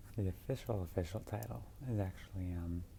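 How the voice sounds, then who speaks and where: A woman speaks softly, with a somewhat breathy quality. Her tone is dark and mellow. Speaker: ASMR roleplay performer playing a sleep clinic technologist. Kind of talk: ASMR roleplay, sleep clinic consultation. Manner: soft-spoken, casual, chatty.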